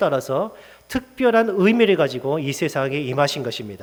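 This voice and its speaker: The man's pitch swings very widely. He keeps to a moderate pace. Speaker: pastor. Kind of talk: sermon.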